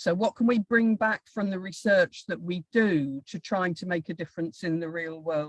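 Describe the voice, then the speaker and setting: Somewhat breathy and fairly low in pitch, a woman speaks at a fairly slow pace with ordinary pitch variation in a dry, close sound with no echo. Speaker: professor. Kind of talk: lecture. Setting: video call.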